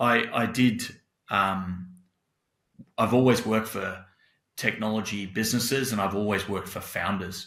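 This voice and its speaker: With an Australian accent, a man speaks at a fairly low pitch and a fairly even intonation, leaving long, frequent pauses in a room with audible echo. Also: moderate pace. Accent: thick Australian. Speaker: tech company CEO. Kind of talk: podcast interview.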